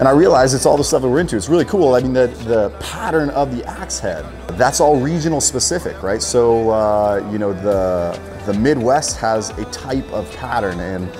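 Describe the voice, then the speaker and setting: A man talks at a moderate pace over clear background music. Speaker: guest. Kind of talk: interview answer. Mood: thoughtful, enthusiastic. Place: workshop.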